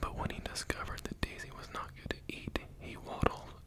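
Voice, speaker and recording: A man whispering amid noticeable background noise. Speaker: ASMR creator. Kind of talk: bedtime story reading. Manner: whispered.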